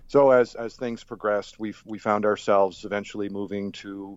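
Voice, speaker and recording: With an American accent, a man speaks at a fairly low pitch. His pace is moderate. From Rhode Island, US. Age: 50s. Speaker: person in recovery, Air Force veteran. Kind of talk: interview testimony. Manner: halting, many fillers and repeats.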